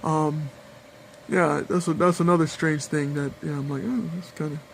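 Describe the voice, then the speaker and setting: Amid noticeable background noise, a man talks fairly quickly in a fairly high voice with fairly even intonation. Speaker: video blogger on weight-loss surgery. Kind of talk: casual personal vlog. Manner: halting, many fillers.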